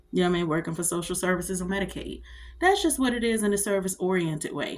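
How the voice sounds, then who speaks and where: An animated tone at a very fast pace, with ordinary pitch variation. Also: woman, medium pitch for a woman. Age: 40s. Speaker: vlogger, army veteran. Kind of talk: casual monologue vlog.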